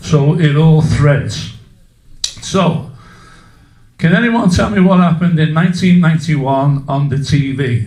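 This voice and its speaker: A man speaks fairly slowly with long, frequent pauses, in a fairly high pitch and ordinary pitch variation. The recording has noticeable background noise and audible room echo. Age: 60s. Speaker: public speaker at a community meeting. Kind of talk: public talk to a live audience. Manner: interactive, asks audience questions.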